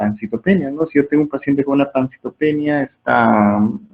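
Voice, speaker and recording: A man talks fairly quickly in a plain, everyday voice, his pitch varying in an ordinary way. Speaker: medical lecturer. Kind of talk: lecture.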